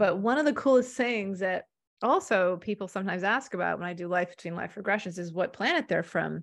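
With an American accent, a woman talks at a fairly quick pace in a medium pitch with ordinary pitch variation against a quiet background. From US, Maine. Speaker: hypnotherapist and intuitive guide. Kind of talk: casual interview conversation. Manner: hesitant, many fillers.

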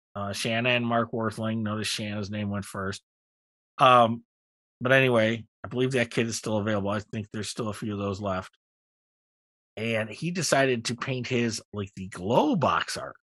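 Against a quiet background, a man talks in a normal speaking voice at a medium pitch, a moderate pace, and with fairly even intonation. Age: 50s. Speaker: podcast co-host. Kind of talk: casual chat.

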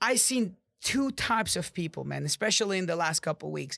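Bright and sharp in tone, a man with an Arabic accent speaks animatedly at a moderate pace and a high pitch, in a very clean recording with a silent background. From Jordan (Amman). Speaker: podcast host and real estate agent. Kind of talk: motivational monologue.

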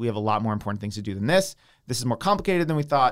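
In a very clean recording with a silent background, a man with an American accent speaks with lively intonation. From US, suburban Philadelphia (Downingtown). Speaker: software developer and entrepreneur. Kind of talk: casual interview.

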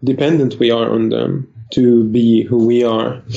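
Over noticeable background noise, a man speaks in a monotone, flat intonation at a medium pitch and a fairly slow pace. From Lebanon. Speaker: food blogger and IT worker. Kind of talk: interview. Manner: halting.

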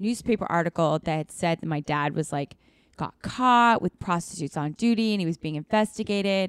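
A woman with an American accent talks at a fairly quick pace in a normal speaking voice, fairly low in pitch with ordinary pitch variation. The recording is very clean, with a silent background and a dry, close sound with no echo. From US Pacific Northwest, Seattle. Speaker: actor and writer. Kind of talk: casual interview chat.

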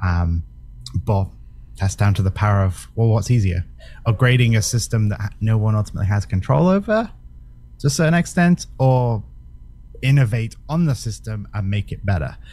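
A man speaks at a moderate pace and a fairly low pitch, somewhat breathy, with a dark, mellow tone. His intonation is lively, and he leaves long, frequent pauses. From Britain. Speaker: crypto project representative. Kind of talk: casual interview.

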